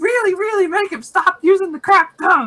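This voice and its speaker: This put-on character voice is squeaky and extremely high in pitch, moving at a fairly quick pace. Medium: actual play. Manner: broken simple grammar.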